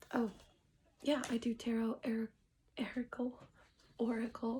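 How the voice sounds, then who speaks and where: A woman's high, dark, mellow voice, flat and monotone, at a fairly slow pace. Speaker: tarot reader. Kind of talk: casual tarot reading livestream. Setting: at home. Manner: soft-spoken, sometimes quiet.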